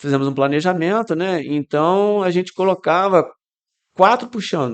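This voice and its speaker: A man's voice, high in pitch, ordinary in pitch movement, moderate in pace. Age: 60s. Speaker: amateur cyclist. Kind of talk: podcast interview.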